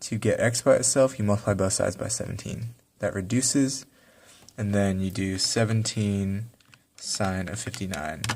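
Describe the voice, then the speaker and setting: On a very clean recording with a silent background, a man speaks at a fairly low pitch and a moderate pace. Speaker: math teacher. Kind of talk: tutorial.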